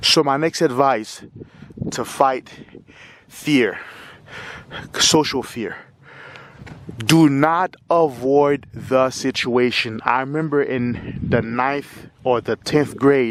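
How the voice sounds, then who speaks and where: Very slow delivery with long, frequent pauses and fairly even intonation, over noticeable background noise. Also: man, medium pitch for a man. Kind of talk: casual talk to camera. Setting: outdoors. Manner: stutters.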